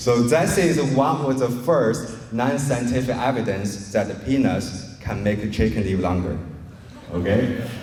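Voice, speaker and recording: A man with a non-native accent at a fairly slow pace, lively intonation, audible room echo and noticeable background noise. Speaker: poultry science researcher. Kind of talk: presentation talk. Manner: conversational, engaging audience.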